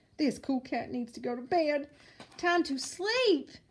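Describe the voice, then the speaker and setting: Putting on a character voice, a woman talks fairly slowly and pitches her voice high. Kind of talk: bedtime story. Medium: read story. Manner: laid-back, cool.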